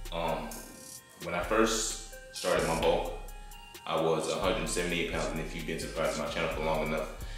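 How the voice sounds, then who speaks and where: Over faint background music and strong room echo, a man talks at a fairly quick pace. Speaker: fitness vlogger. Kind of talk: casual vlog chat. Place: garage. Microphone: camera far.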